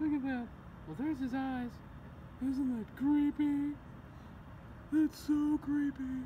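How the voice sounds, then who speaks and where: A female-sounding, cartoonish character voice pitched high speaks at a fairly slow pace. Long, frequent pauses break it up, with clear background noise behind. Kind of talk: comic puppet sketch. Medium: puppet show. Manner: chatty, playfully spooked; goofy, exclamatory.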